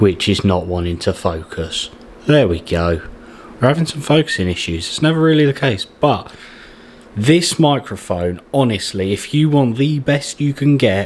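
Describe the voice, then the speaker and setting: With an English accent, a man speaks at a moderate pace and a medium pitch, his voice making very wide pitch swings. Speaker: YouTuber and streamer. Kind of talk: setup tour walkthrough. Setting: home setup, sitting on floor. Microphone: studio microphone.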